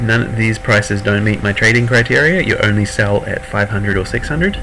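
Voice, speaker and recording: With a New Zealand accent, a man speaks at a fairly low pitch and a moderate pace, with ordinary pitch variation and noticeable background noise. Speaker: gaming streamer. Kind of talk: gameplay tutorial. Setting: live stream. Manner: casual, hesitant with fillers.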